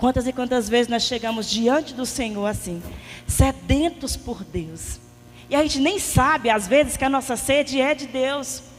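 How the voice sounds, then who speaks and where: A woman with a high pitch talks with lively intonation. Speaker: lay preacher at a prayer group. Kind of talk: sermon. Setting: prayer meeting with audience, microphone. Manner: soft-spoken.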